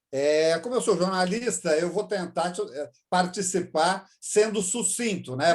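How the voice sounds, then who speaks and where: A man's voice sits high in pitch as he talks fairly slowly. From Brazil, São Paulo. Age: 60s. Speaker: journalist and chess master. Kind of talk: interview.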